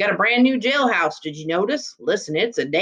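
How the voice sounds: Simply a natural reading voice.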